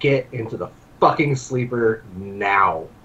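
Using a put-on character voice at a medium pitch, a man speaks at a fairly slow pace. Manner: commanding, snarling.

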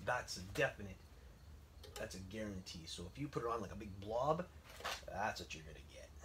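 Speaking at a fairly quick pace, a man with a fairly low pitch makes very wide pitch swings and big swings in loudness. He leaves long, frequent pauses over noticeable background noise. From French Canada. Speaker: woodcarver and video creator; video creator. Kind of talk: tutorial. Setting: workshop, filming alone. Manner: casual, many repetitions and fillers; talkative. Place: garage. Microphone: camera far.

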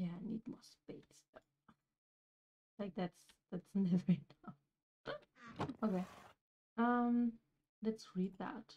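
In a dry, close sound with no echo, a woman speaks at a very slow pace in a dark, mellow, somewhat breathy tone, her loudness swinging widely between long, frequent pauses. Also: medium pitch for a woman, ordinary pitch variation. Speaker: gaming video creator. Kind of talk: let's play commentary. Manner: casual, with filler words.

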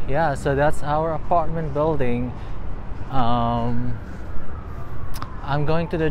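Very slow speech with long, frequent pauses, dry with no echo, over noticeable background noise. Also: man. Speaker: vlogger touring her building. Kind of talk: casual vlog chat. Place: street. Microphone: phone near.

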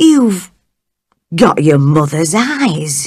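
The speaker uses a put-on character voice at a middle pitch. It sounds shaky. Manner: trembling.

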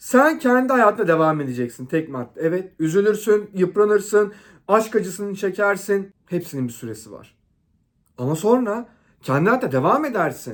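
The speaker talks at a moderate pace in an animated tone, with very wide pitch swings and big swings in loudness, on a very clean recording with a silent background. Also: man, high pitch for a man. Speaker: relationship advice vlogger. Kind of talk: monologue to camera.

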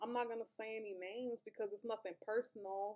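Against a quiet background, a woman with a dark, mellow tone speaks at a fairly high pitch. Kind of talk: casual talk to camera. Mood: hurt, earnest, cautionary. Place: home room. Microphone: webcam.

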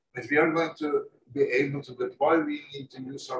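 Light background noise is present. There is audible room echo. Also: man. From Norway. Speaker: environmentalist, foundation founder; panelist. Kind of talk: panel remarks; panel discussion answer. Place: hall.

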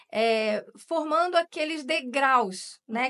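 Against a quiet background, a woman with a high pitch and a bright, sharp tone talks at a fairly slow pace, her pitch swinging very widely. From Rio de Janeiro, Brazil. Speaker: journalist. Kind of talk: interview. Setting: studio. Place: studio. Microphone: studio mic.

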